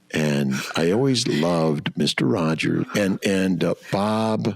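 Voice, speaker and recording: Over noticeable background noise, a man with an American accent talks in a very deep, low voice with lively intonation. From US West Coast, Los Angeles. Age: 60s. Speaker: fertility doctor. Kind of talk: interview conversation. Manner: loud at times.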